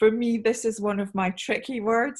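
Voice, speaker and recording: A woman speaks with a Scottish accent. Her voice is fairly high and somewhat breathy. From Scotland. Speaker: sales trainer, conference speaker. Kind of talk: panel presentation. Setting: video call webinar. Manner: slowed down for clarity.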